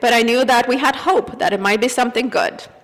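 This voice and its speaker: A woman's high voice with a Russian accent at a fairly quick pace, over noticeable background noise. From Azerbaijan. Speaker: church member giving reflection. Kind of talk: personal reflection read at a service. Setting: church service.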